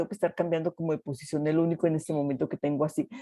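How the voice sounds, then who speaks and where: A woman's dry, close sound with no echo. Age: 60s. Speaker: participant in online health talk, recent spine surgery patient. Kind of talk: testimony. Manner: halting.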